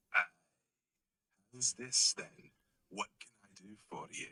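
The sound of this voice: Gravelly and fairly slow, a man does a put-on character voice whose loudness swings widely. The sound is dry and close, with no echo.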